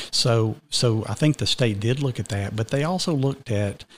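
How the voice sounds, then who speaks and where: On a very clean recording with a silent background, a man speaks at a moderate pace in a somewhat breathy voice with ordinary pitch variation. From Georgia, US South. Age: 50s. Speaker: school district administrator. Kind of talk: casual interview chat. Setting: studio.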